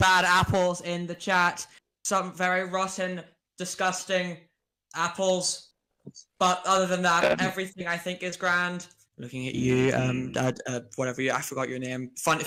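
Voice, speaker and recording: The speaker has a Northern Irish accent. The pace is moderate. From Northern Ireland.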